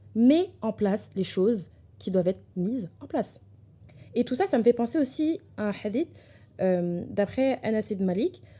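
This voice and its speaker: The woman's fairly high, somewhat breathy voice carries a dark, mellow tone and lively intonation. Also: fairly slow pace. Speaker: podcast host. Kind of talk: casual personal-development talk. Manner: hesitant, many fillers.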